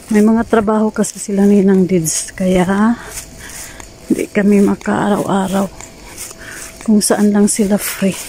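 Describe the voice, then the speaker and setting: Against noticeable background noise, a woman speaks at medium pitch at a fairly slow pace, monotone and flat, with very even loudness and long, frequent pauses. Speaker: vlogger. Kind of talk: casual vlog while walking. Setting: outdoors, walking to the beach. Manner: quiet, lowered voice.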